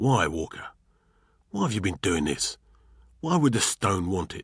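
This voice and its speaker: In a put-on character voice, a raspy man speaks at a moderate pace and fairly low pitch, the recording very clean with a silent background. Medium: read story. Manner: gruff, colloquial.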